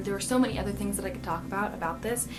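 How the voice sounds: A woman with an American accent, music playing in the background.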